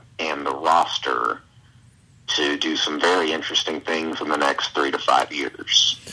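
Speaking at a fairly slow pace, this man has a Southern US accent. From Alabama, US South. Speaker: comic book writer. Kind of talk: casual interview.

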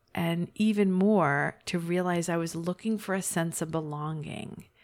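An unremarkable speaking voice moves at a fairly slow pace with ordinary pitch variation, captured in a very clean recording with a silent background. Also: woman. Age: 40s. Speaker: podcast host, life coach. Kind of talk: solo podcast monologue. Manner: warm, laughs often.

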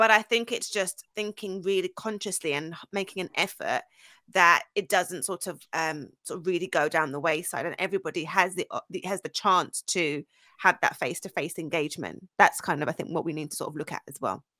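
Speech comes at a fairly quick pace in a bright, sharp tone with a London accent, with big swings in loudness. The sound is dry and close with no echo, on a very clean recording with a silent background. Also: woman, fairly low pitch for a woman, ordinary pitch variation. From London, England (North London, Essex). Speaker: founder and CEO of a women's careers agency. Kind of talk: interview, casual chat.

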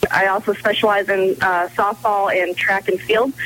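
A woman speaks with a fairly high pitch. Noticeable background noise is heard behind her. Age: young. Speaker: strength and speed coach. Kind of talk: radio interview.

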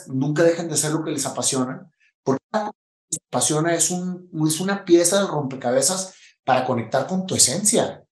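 With a northern Mexican accent, a man talks at a moderate pace, his fairly high pitch showing ordinary variation. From Mexico, Monterrey. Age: 50s. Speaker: entrepreneur and motivational speaker. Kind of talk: interview testimony. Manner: casual, slangy.

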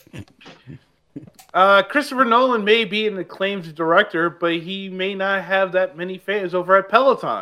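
Pitched high for a man, his raised, projected voice shows ordinary pitch variation and big swings in loudness. He keeps a moderate pace. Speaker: podcast host. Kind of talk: casual chat with news segments.

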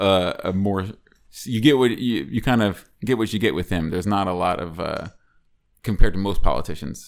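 A man speaks at a moderate pace with a fairly low pitch and an ordinary speaking voice. The recording is very clean, with a silent background. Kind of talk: casual chat. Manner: profane, joking.

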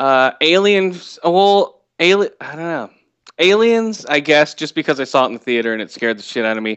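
With an American accent, a man with a fairly high pitch speaks in very wide pitch swings. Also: moderate pace. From US West Coast. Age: 40s. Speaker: podcast host. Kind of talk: casual chat.

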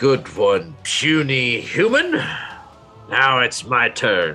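A man does a put-on character voice at a very slow pace, with clear music in the background. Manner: mocking, laughing.

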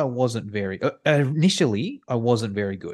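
A man with an Australian accent speaks at a moderate pace over a quiet background. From Sydney, Australia. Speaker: online course creator. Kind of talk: casual interview. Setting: video call.

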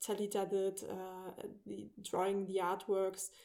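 A woman with a German accent speaks in a dark, mellow tone. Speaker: indie game studio founder. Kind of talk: interview.

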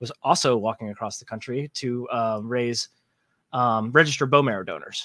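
This man has an ordinary speaking voice at a medium pitch, with an American accent. He talks at a moderate pace. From US South. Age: 30s. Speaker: video creator. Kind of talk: casual chat.

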